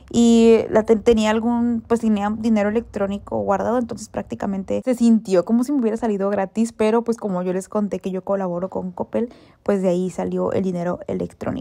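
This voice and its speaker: A woman speaks at a fairly quick pace with a northern Mexican accent. Her pitch is medium and her intonation fairly even. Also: hardly any pauses. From northern Mexico. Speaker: lifestyle vlogger. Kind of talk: vlog narration. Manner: blunt, forceful delivery; halting, stumbles over words.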